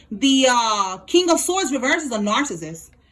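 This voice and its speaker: A woman with a high pitch speaks at a fairly slow pace in an animated tone with lively intonation. Noticeable background noise can be heard. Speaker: tarot reader. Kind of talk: tarot reading monologue.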